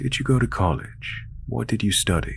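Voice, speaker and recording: A man uses a put-on character voice at a very deep, low pitch with very wide pitch swings. Clear background noise is audible. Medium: read story. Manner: overfriendly, creepy.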